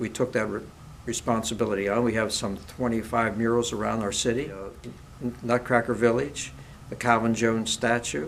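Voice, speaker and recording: A man with an American accent, medium pitch, fairly even intonation and a moderate pace, with noticeable background noise and audible room echo. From Ohio, US Midwest. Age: 70s. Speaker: mayoral candidate, retired business owner. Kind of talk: interview. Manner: halting, with fillers and restarts.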